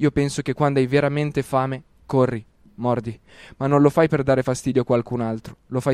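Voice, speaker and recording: The sound is dry and close with no echo as a man with a dark, mellow tone talks at a fairly quick pace in a monotone, flat intonation. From Lombardy, Italy. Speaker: rapper and slam poet. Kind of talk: spoken word poetry.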